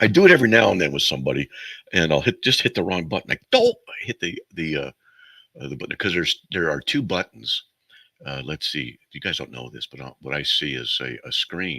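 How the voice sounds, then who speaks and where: Bright and sharp in tone, the voice moves at a fairly quick pace with vocal fry and big swings in loudness. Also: man, very deep, low pitch for a man, dry, close sound with no echo. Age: 60s. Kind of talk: call-in radio show. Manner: rambling, casual.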